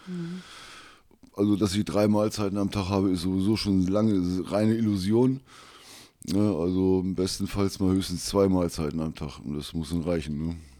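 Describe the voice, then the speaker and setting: A man with a very deep, low pitch and a dark, mellow tone speaks at a moderate pace with ordinary pitch variation. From Lower Saxony, Wolfsburg. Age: 50s. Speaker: guest living in old-age poverty. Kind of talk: interview.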